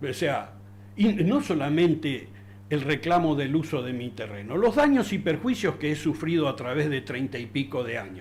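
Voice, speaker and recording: With vocal fry and very wide pitch swings, a man speaks at a moderate pace in a fairly high pitch. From Argentina, Río Negro (Darwin). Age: 60s. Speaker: local resident. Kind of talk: interview. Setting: studio. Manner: halting, many fillers and repetitions.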